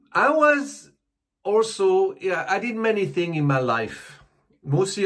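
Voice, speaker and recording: In a French accent, a man speaks at a moderate pace with very wide pitch swings against a quiet background. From Switzerland. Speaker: comedy YouTube host. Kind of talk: comedic monologue. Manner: halting.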